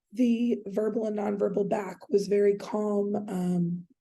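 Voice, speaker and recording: A woman speaks at a medium pitch in a flat, monotone delivery with a dark, mellow tone. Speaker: counseling student. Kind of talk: class presentation. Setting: screen recording. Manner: hesitant, many fillers.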